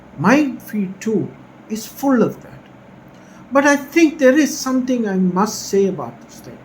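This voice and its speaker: The pitch swings very widely at a fairly slow pace. Noticeable background noise sits behind the voice. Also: man. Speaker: academic vlogger. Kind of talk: casual commentary. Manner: whispering.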